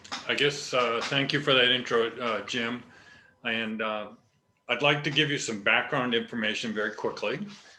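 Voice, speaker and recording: A man's bright, sharp voice at medium pitch and moderate pace, with long, frequent pauses and audible room echo. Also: ordinary pitch variation. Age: 60s. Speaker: company founder. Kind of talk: personal testimony. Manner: halting, many fillers.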